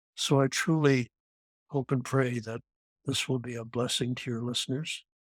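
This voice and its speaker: Monotone, flat speech from a man with a Canadian accent, medium-pitched, at a moderate pace, in a dry, close sound with no echo. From Canada. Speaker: near-death experience survivor, former airline pilot. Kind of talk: testimony. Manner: halting.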